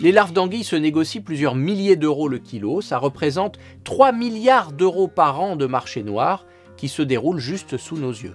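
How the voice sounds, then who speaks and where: A man speaks in a playful tone at a moderate pace, his fairly high voice swinging very widely in pitch over faint background music. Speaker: naturalist storyteller. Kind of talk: educational nature storytelling. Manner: playful, humorous. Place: studio.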